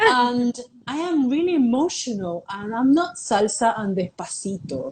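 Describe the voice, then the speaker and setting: A woman with a high pitch speaks loudly and in an animated tone at a fairly slow pace, her pitch swinging very widely over noticeable background noise. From Panama. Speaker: artist. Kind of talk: interview.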